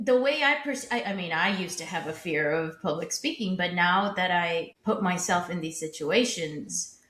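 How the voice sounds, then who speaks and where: Over noticeable background noise, a woman at a medium pitch talks with lively intonation and hardly any pauses. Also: moderate pace. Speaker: podcast co-host. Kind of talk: casual chat.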